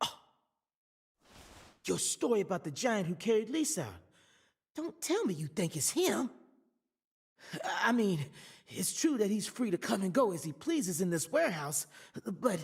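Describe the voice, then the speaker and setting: A man's put-on, drawling character voice in a Southern US accent, high-pitched with very wide pitch swings, at a moderate pace with long, frequent pauses. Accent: rural Southern American drawl. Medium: video game. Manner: folksy, drawling.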